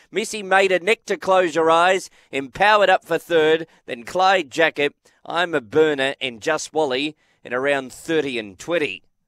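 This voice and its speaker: At a fairly slow pace, an Australian accent comes through with ordinary pitch variation, in a very clean recording with a silent background and a dry, close sound with no echo. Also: man, fairly high pitch for a man. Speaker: greyhound race caller. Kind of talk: live commentary.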